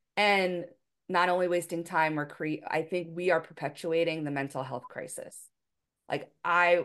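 With a quiet background, a woman in a fairly low voice talks at a moderate pace with fairly even intonation, an ordinary speaking voice. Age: 40s. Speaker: podcast host, teacher and author. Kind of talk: reading aloud; casual interview.

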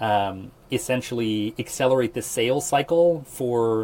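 A man speaks at medium pitch with a Midwestern accent. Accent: General American (Midwest). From Nebraska, US Midwest. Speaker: AI product lead, software engineer. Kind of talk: casual interview.

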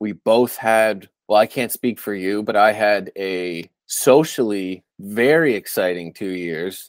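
A man's fairly low voice with a Canadian accent, an unremarkable speaking voice and lively intonation, in a dry, close sound with no echo. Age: 30s. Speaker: podcast host. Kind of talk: casual chat.

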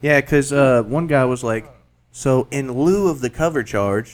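A man with a Southern US accent, fairly high-pitched, at a moderate pace. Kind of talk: casual chat. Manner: animated.

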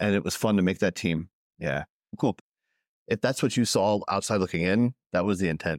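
A man's fairly low voice at a moderate pace, with ordinary pitch variation, long, frequent pauses, very even loudness and a dry, close sound with no echo. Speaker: podcast host. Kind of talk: casual interview conversation.

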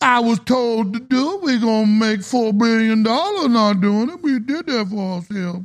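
Delivered at a moderate pace, the put-on character voice runs with hardly any pauses. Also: female-sounding voice, fairly high pitch for a woman. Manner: defensive, testifying.

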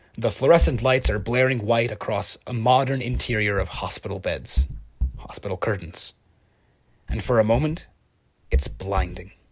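A man at medium pitch with vocal fry, lively intonation, a moderate pace and long, frequent pauses. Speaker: fiction podcast narrator playing a detective. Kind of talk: horror story narration, first-person scripted audio drama.

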